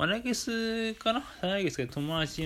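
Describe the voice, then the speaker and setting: His pitch varies in an ordinary way. The voice belongs to a man. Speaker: podcast host. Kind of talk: casual monologue. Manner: hesitant, many fillers.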